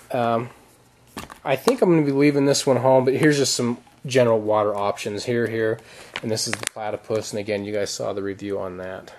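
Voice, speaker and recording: Noticeable background noise runs through the clip. The speech is fairly quick, with ordinary pitch variation. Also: man. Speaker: outdoor gear vlogger. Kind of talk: gear show-and-tell video.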